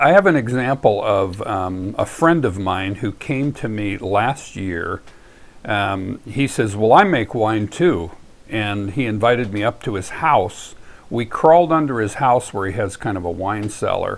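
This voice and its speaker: Against a quiet background, a man with an unremarkable speaking voice and a fairly low pitch talks at a fairly slow pace with lively intonation. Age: 60s. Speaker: home winemaker teaching wine making. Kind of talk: casual spoken introduction. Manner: conversational, with fillers and restarts.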